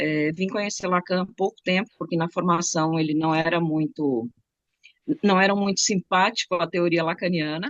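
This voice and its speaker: Speaking at a moderate pace with ordinary pitch variation, a woman talks in a southern Brazilian accent. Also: fairly low pitch for a woman. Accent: gaúcho accent, some Bahian words. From Rio Grande do Sul, southern Brazil. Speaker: psychology professional studying Lacan. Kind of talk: casual self-introduction.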